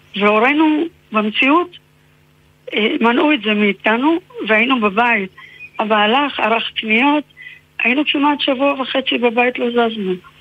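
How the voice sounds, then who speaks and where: Over noticeable background noise, a woman with a high pitch and ordinary pitch variation speaks at a fairly slow pace, with long, frequent pauses and very even loudness. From Israel, Haifa. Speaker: novelist and researcher. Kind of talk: interview.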